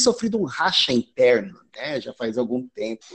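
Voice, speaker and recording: A man speaks at a moderate pace. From Brazil. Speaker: psychiatric nurse, healthcare quality improvement. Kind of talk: casual chat. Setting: call.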